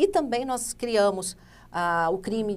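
A woman's medium-pitched voice moves at a fairly slow pace, with ordinary pitch variation. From Rondônia, Brazil (born in Santa Catarina). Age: 40s. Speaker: politician, Senate candidate; interview guest, politician. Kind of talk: interview. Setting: studio. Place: studio. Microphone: lapel.

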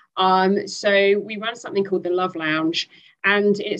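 With a British accent, a woman speaks at a moderate pace with fairly even intonation over a quiet background. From UK. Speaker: speaker. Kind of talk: webinar panel discussion. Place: home room. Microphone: headset.

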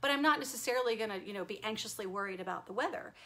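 The tone is warm. The intonation is lively. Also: woman. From Texas. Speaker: self-help video host. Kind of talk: live-stream talk to viewers. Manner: warm, conversational. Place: home room. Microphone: webcam.

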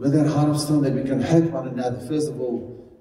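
The speech moves at a fairly quick pace. Room echo can be heard. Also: man. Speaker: pastor. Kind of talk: sermon. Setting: church. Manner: animated. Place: church.

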